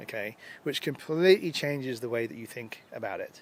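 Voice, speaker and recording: In an English accent, a man speaks at a medium pitch with ordinary pitch variation. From England, London. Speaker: user group organizer and conference speaker. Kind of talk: interview. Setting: at a conference.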